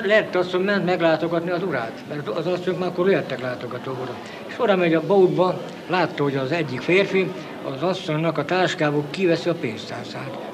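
With noticeable background noise, a man talks at a fairly quick pace in a high pitch, showing ordinary pitch variation. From Transcarpathia. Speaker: former prisoner of war; witness. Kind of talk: interview answer. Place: home room. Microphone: old recording.

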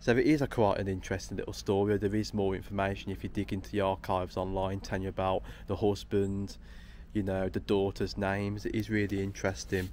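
Fairly low in pitch, a man talks at a very fast pace with fairly even intonation. The sound is dry with no echo, over light background noise. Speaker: local history explorer vlogger. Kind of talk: casual vlog chat. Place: tunnel cave. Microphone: phone near.

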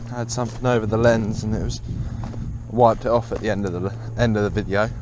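Over noticeable background noise, a man talks very fast in a flat monotone, the sound dry with no echo. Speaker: farmer vlogger. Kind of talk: casual vlog chat. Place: farm machine. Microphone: phone near.

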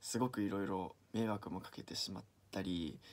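The pace of this man's speech is moderate. His recording is very clean, and the background is silent. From Niigata, Japan. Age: 20s. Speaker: aspiring actor. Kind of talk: audition self-introduction and anecdote.

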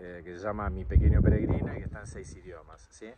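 A man speaks fairly quickly, with noticeable background noise around him. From Argentina. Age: 60s. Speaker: political vlogger. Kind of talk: casual monologue. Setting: outdoors.

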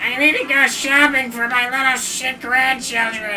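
A high, female-sounding put-on character voice comes through over clear background noise. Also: moderate pace. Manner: grumpy.

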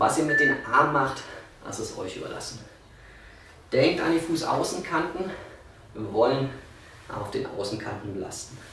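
A man's voice at a moderate pace, with big swings in loudness, long and frequent pauses, audible room echo and light background noise. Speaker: fitness trainer. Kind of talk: workout instruction. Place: home room.

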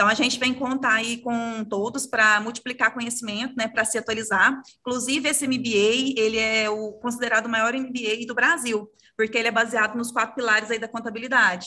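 A woman speaks at a moderate pace and a fairly high pitch. Her tone is bright and sharp. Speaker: career consultant, promoting courses; sales representative for course. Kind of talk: short promo. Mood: friendly, smiling. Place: home room. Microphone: video call.

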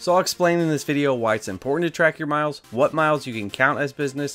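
A man talks at a very fast pace over faint music in the background. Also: ordinary pitch variation. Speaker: gig driver youtuber. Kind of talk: tutorial. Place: home room.

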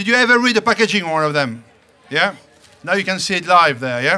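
A raised, projected voice moves at a fairly quick pace. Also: man. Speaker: baker giving a demonstration. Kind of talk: lively show talk to an audience. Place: open country.

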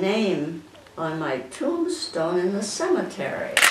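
A woman speaks very slowly with lively intonation and an American accent. Loud background noise and audible room echo fill the recording. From Midwestern US. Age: 80s+. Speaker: amateur poet. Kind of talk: poetry reading. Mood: warm, proud, gently humorous. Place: home room. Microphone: camera far.

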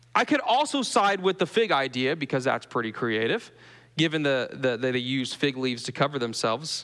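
Here a man speaks with a Southern US accent at a fairly quick pace. His pitch is fairly high and his intonation lively. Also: quiet background. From US South. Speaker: pastor. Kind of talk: sermon. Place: church. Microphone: podium.

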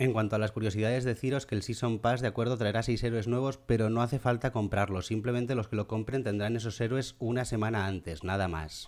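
Speaking at a medium pitch, a man talks at a very fast pace with hardly any pauses and very even loudness. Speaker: gaming youtuber. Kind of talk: gameplay commentary. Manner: animated.

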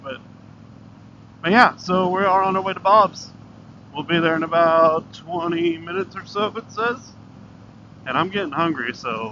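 At a moderate pace, a man talks with ordinary pitch variation and long, frequent pauses over light background noise. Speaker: motorcycle vlogger. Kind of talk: casual vlog chat. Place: motorbike. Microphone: helmet.

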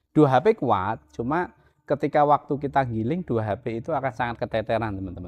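Against a quiet background, a man speaks in an enthusiastic tone. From Central Java, Indonesia. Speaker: farm machinery seller. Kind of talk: product demo talk. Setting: workshop demo, filming a video. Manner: enthusiastic, insistent, repeating 'teman-teman'. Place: garage.

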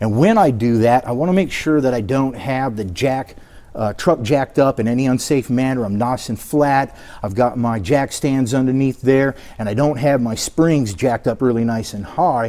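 A man talks at a moderate pace with ordinary pitch variation and a dark, mellow tone. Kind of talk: tutorial. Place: garage. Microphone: camera far.

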